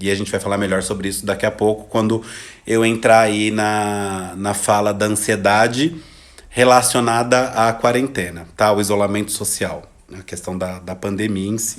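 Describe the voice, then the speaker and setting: Using an unremarkable speaking voice, a man talks at a moderate pace in a fairly low pitch. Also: fairly even intonation. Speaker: psychologist giving a live talk. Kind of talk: livestream talk.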